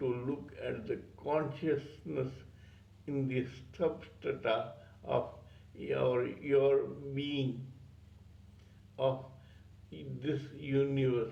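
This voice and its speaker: Somewhat breathy and fairly high-pitched, a man speaks at a very slow pace with fairly even intonation and long, frequent pauses, and room echo is audible. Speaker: spiritual teacher, channel owner. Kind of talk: spiritual talk on scripture. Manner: stuttering.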